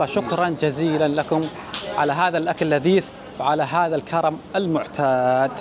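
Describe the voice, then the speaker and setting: A man with a Saudi accent speaks at a fairly slow pace. Noticeable background noise and audible room echo surround him. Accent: Saudi Gulf Arabic. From Saudi Arabia. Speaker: travel vlogger. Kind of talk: travel vlog. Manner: animated.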